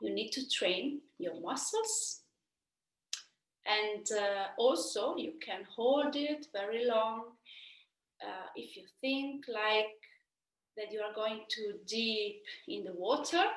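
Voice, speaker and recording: Speaking in an Italian accent at a very slow pace, a woman leaves long, frequent pauses while her loudness swings widely. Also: fairly high pitch for a woman, lively intonation. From Italy. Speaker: opera singer. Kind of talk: Q&A answers for school students. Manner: halting, many fillers.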